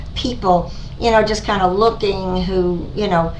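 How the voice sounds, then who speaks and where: Over noticeable background noise and audible room echo, a woman talks at medium pitch and a fairly slow pace. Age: 60s. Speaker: cosmetic surgery patient. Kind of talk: testimony. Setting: doctor's office. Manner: halting, many fillers.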